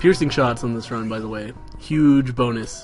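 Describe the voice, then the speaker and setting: A man at a fairly quick pace with ordinary pitch variation, music playing in the background. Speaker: let's play commentator. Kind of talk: video game post commentary. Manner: casual.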